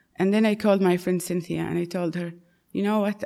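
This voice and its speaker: In an Arabic accent, a woman speaks with a fairly low pitch. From Saudi Arabia. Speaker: churchgoer, convert to Christianity. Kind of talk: testimony.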